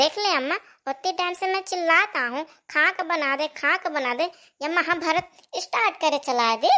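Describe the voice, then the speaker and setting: A woman performs a cartoonish character voice at an extremely high pitch. She moves at a moderate pace with lively intonation. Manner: bossy, quarrelsome.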